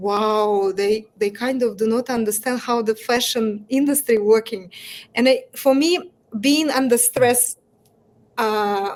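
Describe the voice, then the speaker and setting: Spoken at a very slow pace with a Russian accent, this voice shows ordinary pitch variation. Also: woman. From Russia, Moscow. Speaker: entrepreneur. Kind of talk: interview. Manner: halting.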